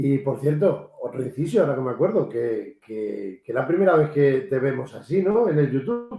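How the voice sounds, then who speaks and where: A man with a fairly high, somewhat breathy voice and a dark, mellow tone moves at a moderate pace with hardly any pauses and very wide pitch swings. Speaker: interviewer and host of paranormal interview show. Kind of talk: interview host.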